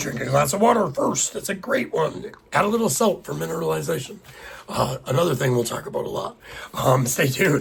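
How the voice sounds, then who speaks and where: A man talks at a fairly quick pace in a fairly high pitch. Noticeable background noise runs underneath. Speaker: podcast host. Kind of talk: solo podcast monologue. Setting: home podcast with a single microphone. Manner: fast; casual, conversational.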